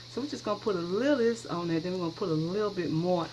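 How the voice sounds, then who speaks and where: A woman speaks at a fairly low pitch with noticeable background noise behind her. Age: 60s. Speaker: cooking channel host. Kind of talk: cooking tutorial. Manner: casual, chatty.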